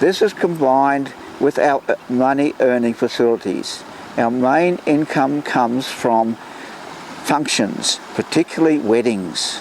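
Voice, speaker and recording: With an Australian accent, a man talks at a fairly slow pace and a fairly high pitch, using ordinary pitch variation. His loudness is very even, and there is noticeable background noise. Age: 80s+. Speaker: volunteer historian and landscaper. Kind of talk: interview monologue.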